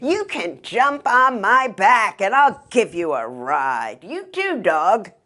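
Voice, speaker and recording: In a put-on character voice, a woman talks very slowly at a fairly high pitch, her pitch swinging very widely and hardly pausing at all. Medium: read story.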